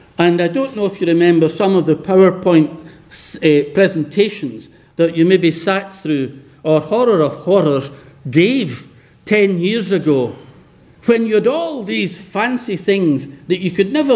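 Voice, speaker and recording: His pitch is high and his intonation lively. The man speaks at a moderate pace. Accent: Scottish. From west of Scotland. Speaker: professor. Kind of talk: lecture.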